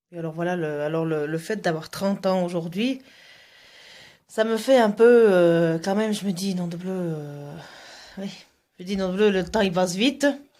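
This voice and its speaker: With a dark, mellow tone and medium pitch, a woman speaks at a moderate pace, taking long, frequent pauses, in a very clean recording with a silent background. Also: ordinary pitch variation. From Russia. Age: 30s. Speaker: vlogger. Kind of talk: vlog. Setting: outdoors. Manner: halting.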